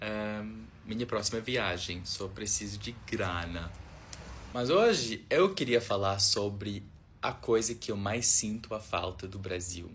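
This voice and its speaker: A fairly low-pitched man with an English accent, very slow pace and fairly even intonation. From Australia. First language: English (speaking Portuguese). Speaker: foreign visitor vlogger. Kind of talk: casual video monologue. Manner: halting, hesitant.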